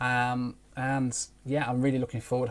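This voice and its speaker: A somewhat breathy man speaks at a medium pitch with a British accent. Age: 30s. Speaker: aviation YouTuber. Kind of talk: live stream Q&A. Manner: fast; hesitant with fillers.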